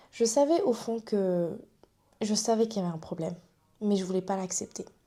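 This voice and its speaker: A woman speaks at a medium pitch with ordinary pitch variation and a dark, mellow tone. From Réunion. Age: 20s. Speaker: YouTuber. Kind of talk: personal vlog. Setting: to camera.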